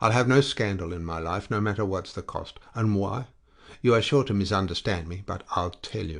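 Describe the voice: The text is simply read aloud in a plain way.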